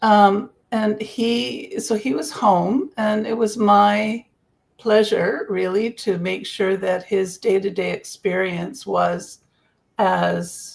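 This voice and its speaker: The voice carries vocal fry and ordinary pitch variation. The pace is very slow. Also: woman, medium pitch for a woman. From North America. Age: 70s. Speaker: grief coach. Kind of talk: interview.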